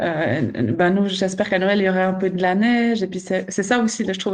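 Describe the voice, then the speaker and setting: A woman with a Swiss accent talks at a very fast pace, keeping her intonation fairly even. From Switzerland. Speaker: nurse and sleep consultant, podcast co-host. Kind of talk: casual podcast chat.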